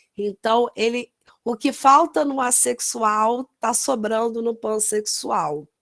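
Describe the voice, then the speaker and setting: At a very slow pace, a woman with a fairly high pitch speaks in a dry, close sound with no echo. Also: ordinary pitch variation. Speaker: nurse. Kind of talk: lecture.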